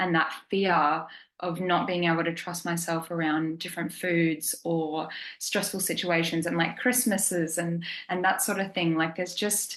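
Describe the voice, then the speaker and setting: With an Australian accent, a woman speaks at a moderate pace and fairly low pitch with fairly even intonation, and room echo can be heard. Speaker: program client. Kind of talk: testimony. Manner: casual, many fillers.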